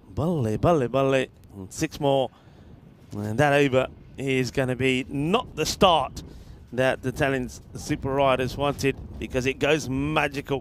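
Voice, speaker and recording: Using a relaxed tone and a fairly high pitch, a man speaks at a fairly slow pace with long, frequent pauses. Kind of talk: cricket commentary. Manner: relaxed, dry, bantering co-commentator.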